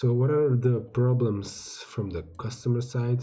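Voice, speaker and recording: Fairly slow, somewhat breathy speech from a man. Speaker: crypto YouTuber reviewing token sales. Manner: halting, many fillers and restarts.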